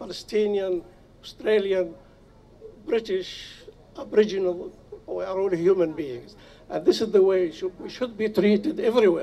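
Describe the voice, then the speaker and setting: A man speaks in a high voice, his loudness swinging widely, with long, frequent pauses throughout. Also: ordinary pitch variation, moderate pace. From Nablus, Palestine. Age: 80s+. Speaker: refugee and activist. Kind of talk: rally speech. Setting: outdoors. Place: open country. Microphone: podium.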